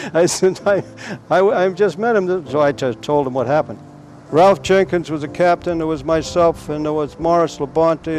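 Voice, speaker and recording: Speaking at a moderate pace with an American accent, a man has a fairly high pitch and ordinary pitch variation, with noticeable background noise behind him. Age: 70s. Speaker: local golf historian. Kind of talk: oral history storytelling. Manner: halting.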